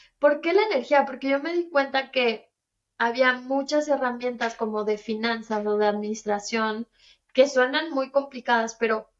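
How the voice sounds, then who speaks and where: This woman has a high-pitched voice and speaks fairly slowly with ordinary pitch variation. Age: 30s. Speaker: entrepreneur. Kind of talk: interview.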